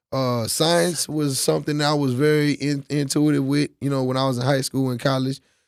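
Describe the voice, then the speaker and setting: On a very clean recording with a silent background, a man with an American accent speaks at a moderate pace, his fairly high voice showing ordinary pitch variation. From Texas, Dallas. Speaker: DJ and promoter. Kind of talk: casual chat.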